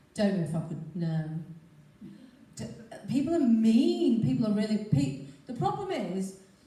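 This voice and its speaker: With very wide pitch swings around a medium pitch, a woman talks at a moderate pace with long, frequent pauses, over noticeable background noise and audible room echo. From northern England, Stockport. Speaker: TV weather presenter. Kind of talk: talk to a club audience. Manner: chatty, animated.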